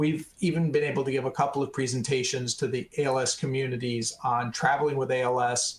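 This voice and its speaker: A man talks at a fairly quick pace with an American accent. His medium-pitched voice is somewhat breathy. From Arizona. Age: 60s. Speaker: retired tech worker living with ALS. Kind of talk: webinar interview. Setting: webinar.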